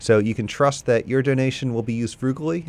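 This man has a plain, everyday voice. He speaks at a fairly quick pace with ordinary pitch variation. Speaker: radio station fundraiser host. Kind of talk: pledge drive pitch. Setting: radio studio.

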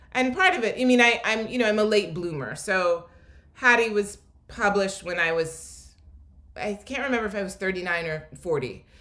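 A woman's medium-pitched voice with an American accent, lively intonation and a moderate pace, with audible room echo and noticeable background noise. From Philadelphia. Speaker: novelist. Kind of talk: literary interview. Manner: halting with many fillers.

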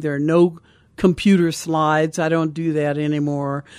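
On a very clean recording with a silent background, a woman speaks at a moderate pace in a very deep, low pitch. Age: 80s. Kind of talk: radio interview.

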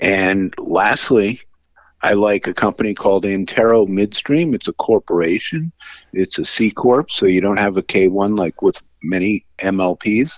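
In a dry, close recording with no echo and a quiet background, a man with a fairly low pitch and an unremarkable speaking voice talks at a fairly slow pace. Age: 60s. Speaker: financial analyst. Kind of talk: radio interview.

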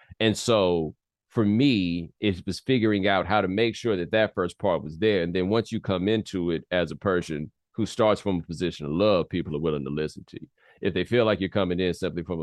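The speech is very fast, with a slight Southern US accent. Pitch variation is ordinary. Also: man. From US South, Atlanta and Houston. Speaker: sports TV host and commentator. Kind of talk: interview conversation.

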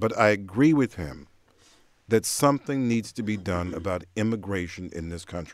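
In an unremarkable speaking voice, a man talks at a moderate pace with a fairly low pitch and lively intonation. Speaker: radio host. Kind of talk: radio call-in discussion. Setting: radio studio.

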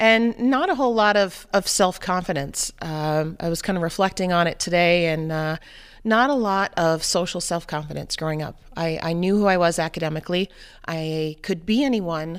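A woman with a plain, everyday voice and an American accent speaks at a moderate pace, her fairly low pitch showing ordinary variation, in a very clean recording with a silent background. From New Hampshire, US. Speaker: mother and runner. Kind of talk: interview.

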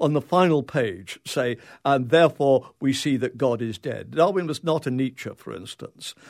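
A man with an English accent speaks fairly slowly, in an animated tone with lively intonation. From England. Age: 70s. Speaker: philosophy professor. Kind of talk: casual interview conversation. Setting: studio. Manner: animated, jokey, humorous.

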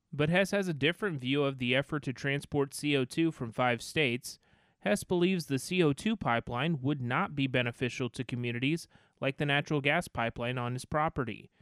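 A man with an unremarkable speaking voice, fairly high in pitch with ordinary pitch variation, at a fairly quick pace, in dry, close sound with no echo against a quiet background. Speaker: radio reporter. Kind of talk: news reporting.

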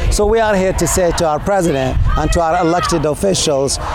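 A man speaks with a high pitch. There is audible room echo and noticeable background noise. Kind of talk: interview at a protest. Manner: impassioned.

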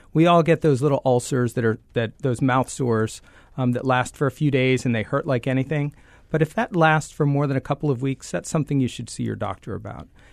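In a normal speaking voice, a man talks fairly quickly at a medium pitch with ordinary pitch variation, the sound dry and close with no echo. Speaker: head and neck surgeon. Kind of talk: radio interview.

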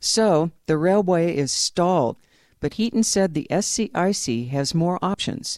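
A woman speaks in a normal speaking voice at a fairly slow pace. Her intonation is lively and her loudness very even. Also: fairly low pitch for a woman. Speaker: public radio reporter. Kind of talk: news reporting, scripted narration. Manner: clear, measured, formal.

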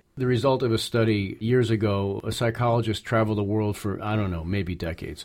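A man with an unremarkable speaking voice and an American accent talks at a fairly quick pace with medium pitch and ordinary pitch variation, in a very clean recording with a silent background. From Massachusetts, US. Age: 50s. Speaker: novelist. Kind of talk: interview conversation.

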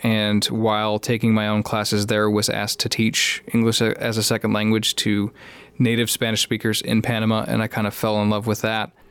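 A man with a Chicago accent speaks at a moderate pace in a fairly low pitch, with monotone, flat intonation and very even loudness. The recording is very clean, with a silent background. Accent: Chicago-area US English. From Chicago area, Illinois. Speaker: high school teacher. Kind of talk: interview.

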